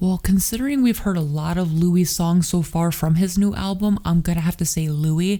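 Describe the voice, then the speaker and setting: Soft-spoken and fairly low in pitch, a woman talks at a moderate pace with a dark, mellow tone and fairly even intonation. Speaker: YouTuber. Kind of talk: casual talk to camera.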